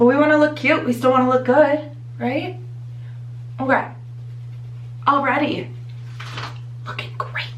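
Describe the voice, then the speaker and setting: A woman speaks with an American accent, leaving long, frequent pauses. Audible room echo and noticeable background noise come through. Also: moderate pace. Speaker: beauty vlogger. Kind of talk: tutorial. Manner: casual, chatty.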